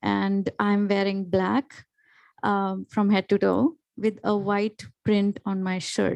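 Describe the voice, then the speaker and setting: Very slowly, a woman speaks in an Indian accent at a medium pitch. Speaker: panelist, educator. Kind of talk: panel discussion.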